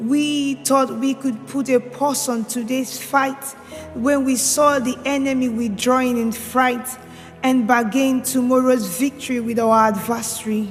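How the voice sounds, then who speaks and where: A fairly slow pace with monotone, flat intonation and music in the background. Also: woman, high pitch for a woman. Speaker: spoken word poet. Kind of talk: spoken word poetry performance. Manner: impassioned, declamatory.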